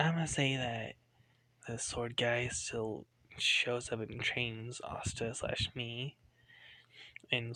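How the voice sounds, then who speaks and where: Quiet and very slow, a man speaks at a medium pitch with a bright, sharp tone. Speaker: fan fiction storyteller. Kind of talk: casual storytelling monologue. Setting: at home late at night. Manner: quiet, hushed; rambling, filler-heavy.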